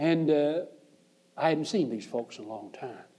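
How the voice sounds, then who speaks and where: Moderate-paced speech from a man with a Southern US accent. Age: 60s. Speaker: preacher. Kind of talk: sermon. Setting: church.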